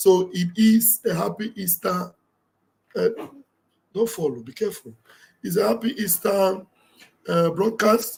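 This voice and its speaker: A man with a high pitch talks at a fairly slow pace with ordinary pitch variation. He leaves long, frequent pauses. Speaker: live-stream commentator. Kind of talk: live stream talk. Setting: live stream.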